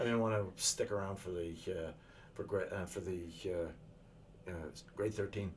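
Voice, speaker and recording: A man's fairly low, somewhat breathy voice at a moderate pace. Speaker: retired military engineer. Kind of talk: interview answer.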